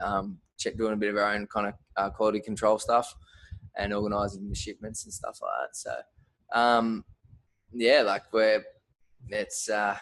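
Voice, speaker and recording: A man with an Australian accent and a fairly low pitch talks at a moderate pace in monotone, flat intonation, with long, frequent pauses. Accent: thick Australian. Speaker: fight gear brand owner. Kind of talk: podcast interview. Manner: hesitant, many fillers.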